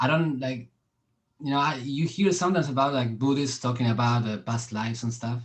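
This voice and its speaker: In a Spanish accent, a man speaks at a fairly quick pace and medium pitch, somewhat breathy, with ordinary pitch variation. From Argentina. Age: 30s. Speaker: podcast host and street musician. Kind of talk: casual chat. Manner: halting.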